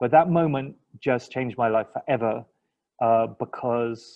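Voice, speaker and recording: English accent from a man whose pitch varies in an ordinary way. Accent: English accent, noticeable to locals. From England. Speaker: linguistics lecturer. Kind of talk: interview. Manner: hesitant, many fillers.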